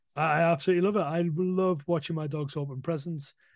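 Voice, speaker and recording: Against a quiet background, a man with a northern English accent talks with fairly even intonation. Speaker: dog trainer. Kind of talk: casual chat.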